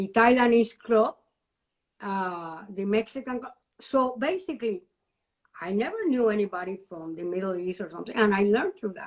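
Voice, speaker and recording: With a Cuban accent, a woman at medium pitch talks at a moderate pace, with ordinary pitch variation and big swings in loudness. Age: 70s. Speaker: retired educator and university alumna. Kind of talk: interview. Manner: animated.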